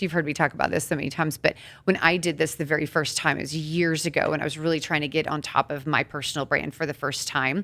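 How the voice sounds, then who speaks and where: A loud, bright, sharp woman's voice in a very clean recording with a silent background. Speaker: podcast co-host. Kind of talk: casual podcast discussion. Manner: fast.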